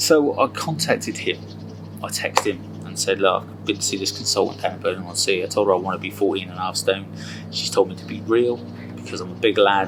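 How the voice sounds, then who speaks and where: Music plays behind a man. He talks at a fairly quick pace. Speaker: weight management consultant. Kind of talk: personal testimony. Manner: stammers at times; talkative.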